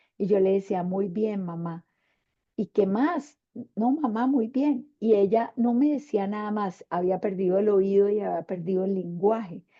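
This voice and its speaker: A woman speaks at a fairly slow pace, with ordinary pitch variation. It is an ordinary speaking voice. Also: medium pitch for a woman. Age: 60s. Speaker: panelist, women's leadership mentor. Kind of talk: panel discussion.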